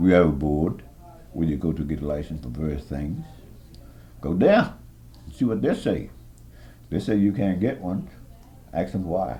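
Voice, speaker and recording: Speaking at a moderate pace with long, frequent pauses, a man with a very deep, low pitch uses lively intonation amid audible room echo. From US South, southern Maryland. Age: 80s+. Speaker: war veteran. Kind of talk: oral history interview. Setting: care center room. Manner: halting.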